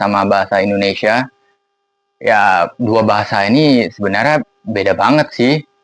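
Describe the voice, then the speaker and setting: Speaking fairly slowly with an English accent, a man talks at a medium pitch. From Singapore (Bukit Panjang). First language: English (speaking Indonesian). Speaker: vlogger. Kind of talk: casual vlog monologue. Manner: casual, conversational with fillers.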